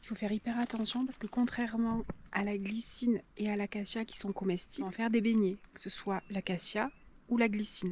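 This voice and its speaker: The speaker is soft-spoken. The pace is fairly quick. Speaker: nature and cooking vlogger. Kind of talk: casual vlog narration. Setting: outdoors in a valley. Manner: hesitant, many fillers.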